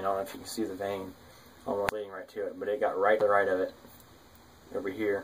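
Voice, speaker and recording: This man's pitch sits fairly low. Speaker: survival gear youtuber. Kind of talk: gear show-and-tell tutorial. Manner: halting, many fillers.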